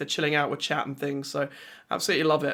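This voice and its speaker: A man talks very fast with an English accent. His tone is bright and sharp. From England. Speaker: video game streamer. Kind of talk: casual chat. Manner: energetic, animated.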